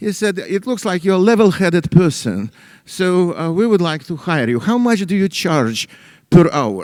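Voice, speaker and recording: Here a man talks with lively intonation. His voice is high and his pace moderate. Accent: Russian. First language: Russian. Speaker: economist. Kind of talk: lecture. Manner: halting, many fillers.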